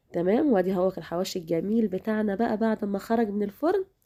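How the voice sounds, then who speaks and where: A woman speaks at a fairly quick pace with a fairly high pitch, a dark, mellow tone and ordinary pitch variation, in a dry, close sound with no echo. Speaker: cooking channel host. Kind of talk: cooking tutorial. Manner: casual, chatty.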